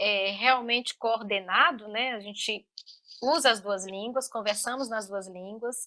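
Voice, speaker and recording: A woman with a Brazilian accent speaks at a fairly slow pace in a fairly high pitch, with a bright, sharp tone and ordinary pitch variation. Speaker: linguist and mother. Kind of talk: interview. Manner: halting, many fillers.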